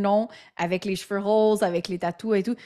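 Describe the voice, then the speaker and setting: A woman speaks at a fairly quick pace and a fairly high pitch. The recording is very clean, with a silent background. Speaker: entrepreneur and podcaster. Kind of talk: interview. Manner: animated; halting.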